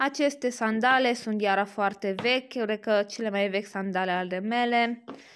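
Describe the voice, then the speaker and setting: A woman at a moderate pace with light background noise. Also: fairly even intonation. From Romania. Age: 20s. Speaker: YouTuber. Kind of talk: product showcase vlog. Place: home room.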